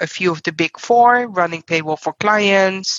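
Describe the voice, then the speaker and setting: A woman with a Dutch accent, at a fairly slow pace. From Netherlands. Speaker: payroll executive. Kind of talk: interview. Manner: direct.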